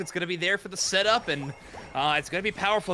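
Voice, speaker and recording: A man's raised, projected voice with lively intonation over noticeable background noise. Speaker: esports caster. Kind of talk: live commentary. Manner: loud.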